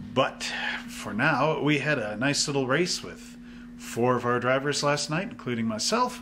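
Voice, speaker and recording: A man's moderately paced speech comes through with noticeable background noise. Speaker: hobby shop channel host. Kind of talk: casual vlog chat. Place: shop.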